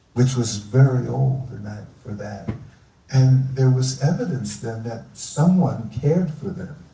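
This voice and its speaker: Someone with an American accent speaks at a fairly slow pace, with ordinary pitch variation and big swings in loudness. Audible room echo fills the recording. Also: man, medium pitch for a man. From US Northeast, Philadelphia. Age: 70s. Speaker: environmentalist. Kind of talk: live onstage interview.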